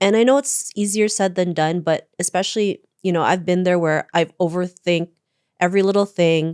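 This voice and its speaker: An unremarkable speaking voice from a woman with a Canadian accent, medium in pitch and fairly quick in pace, in a dry, close sound with no echo on a very clean recording with a silent background. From Canada, Toronto. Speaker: author and keynote speaker. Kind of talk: interview.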